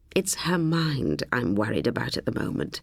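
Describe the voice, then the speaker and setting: A raspy, put-on character voice at a low-to-middle pitch, with very wide pitch swings and a moderate pace. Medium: read story. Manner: patient, affectionate, firm.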